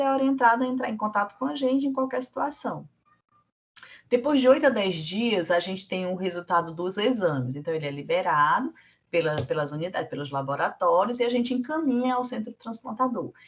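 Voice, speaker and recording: Her pitch swings very widely. The woman has a high voice and talks at a fairly quick pace. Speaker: blood centre staff trainer. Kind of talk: training lecture.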